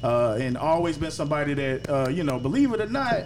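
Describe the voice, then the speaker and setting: Over noticeable background noise, a man talks with an American accent. His pitch is medium and his pace moderate. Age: 30s. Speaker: podcast host, barber. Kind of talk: casual chat.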